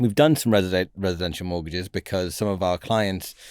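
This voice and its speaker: A man with a northern English accent at a very fast pace, ordinary pitch variation, on a very clean recording with a silent background. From northern England. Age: 40s. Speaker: finance broker, business founder. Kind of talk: podcast interview.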